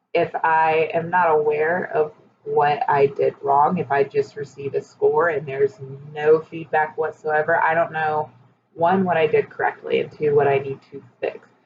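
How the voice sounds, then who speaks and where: A woman speaks at a very deep, low pitch with monotone, flat intonation. Her pace is moderate. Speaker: teacher. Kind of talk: personal reflection monologue. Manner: loud.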